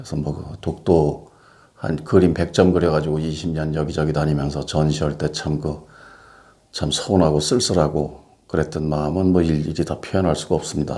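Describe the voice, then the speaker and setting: A man with a very deep, low pitch talks in a monotone, flat intonation at a moderate pace while noticeable background noise plays behind him. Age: 60s. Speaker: painter. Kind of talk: casual monologue to camera. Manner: hesitant, many fillers.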